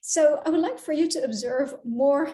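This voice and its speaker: A woman with a non-native accent, high-pitched with a dark, mellow tone, lively intonation, and a moderate pace. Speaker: career coach. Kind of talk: talking-head advice video. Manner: hesitant with fillers.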